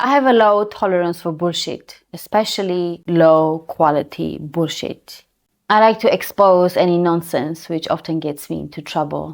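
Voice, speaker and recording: A woman speaks in an Armenian accent. Her pitch is fairly low, with ordinary pitch variation. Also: moderate pace, very clean recording, silent background. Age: adult. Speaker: YouTuber. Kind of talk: personal vlog monologue.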